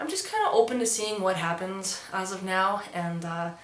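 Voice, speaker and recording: A woman's fairly even delivery at a moderate pace, with audible room echo and noticeable background noise. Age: 20s. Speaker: transmasculine vlogger and musician. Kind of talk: casual vlog. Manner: casual, with fillers.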